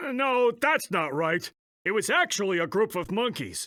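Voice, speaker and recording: A man's high-pitched, put-on character voice on a very clean recording with a silent background. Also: moderate pace. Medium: video game. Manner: jokey, laughing.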